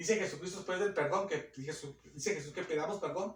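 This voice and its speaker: With ordinary pitch variation, a man is talking. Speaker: preacher. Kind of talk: sermon. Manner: fast.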